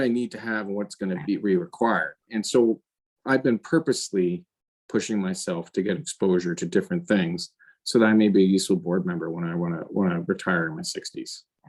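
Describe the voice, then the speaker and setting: In a plain, everyday voice, a man talks at a fairly quick pace with lively intonation. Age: 50s. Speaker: finance executive. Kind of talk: interview. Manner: conversational with many fillers.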